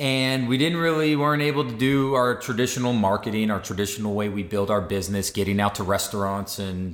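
The man has a normal speaking voice and an American accent, with ordinary pitch variation. He talks at a fairly quick pace with hardly any pauses. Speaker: podcast host. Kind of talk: casual podcast conversation.

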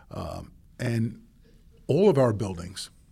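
The man's voice is somewhat breathy. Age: 50s. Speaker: water treatment manager. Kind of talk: interview. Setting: studio.

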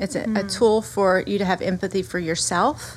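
This woman talks at a fairly quick pace with a Southern US accent. Her pitch sits in the medium range. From US South. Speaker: pastor. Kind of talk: casual chat.

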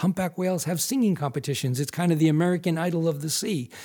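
A man, high-pitched yet with a dark, mellow tone, very fast pace, very clean recording and silent background. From US Northeast (Massachusetts). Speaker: wildlife photographer and filmmaker. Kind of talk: interview.

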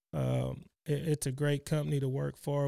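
A man speaks with a Texan accent in a fairly high pitch and a dark, mellow tone, his intonation fairly even. The recording is very clean and dry, close with no echo, over a silent background. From Texas, Cypress. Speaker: retired rodeo calf roper and company employee. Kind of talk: interview.

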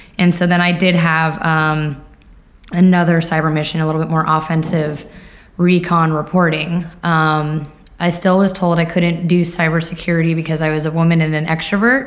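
Spoken at a moderate pace with fairly even intonation, this voice has an American accent and audible room echo. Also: woman, fairly low pitch for a woman. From US Northeast, Long Island, New York. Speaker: cybersecurity professional, Air Force veteran. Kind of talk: interview. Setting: live at a conference.

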